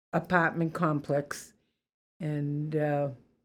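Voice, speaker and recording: A woman talks very slowly, recorded very cleanly with a silent background. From Boston, Massachusetts (Roxbury). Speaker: interviewee sharing life story. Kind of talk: life story interview.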